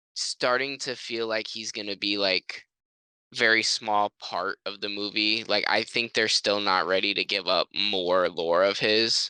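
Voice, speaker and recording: Against a quiet background, a man with a fairly low pitch and a bright, sharp tone talks at a fairly slow pace, the sound dry and close without echo. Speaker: podcast co-host. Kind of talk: casual chat. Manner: monotone.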